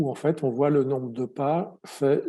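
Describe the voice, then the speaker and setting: Over a quiet background, a man speaks fairly slowly at medium pitch, with a dark, mellow tone and fairly even intonation. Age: 60s. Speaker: patient advocate. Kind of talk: testimony. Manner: halting, many repetitions and fillers.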